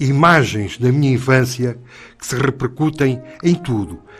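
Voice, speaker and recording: A man's voice sounds somewhat breathy, and his pitch rises and falls in an ordinary way. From Angola (Bié), then Portugal. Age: 70s. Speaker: radio program contributor, war veteran. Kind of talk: radio talk program. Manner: halting, with repetitions.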